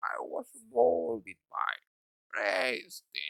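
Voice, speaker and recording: A guttural, gravelly put-on character voice at a very slow pace. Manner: menacing.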